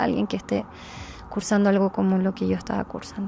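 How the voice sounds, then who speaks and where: A woman is speaking. Her pace is very fast. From Chile. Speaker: psychologist sharing a healing experience. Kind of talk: interview testimony.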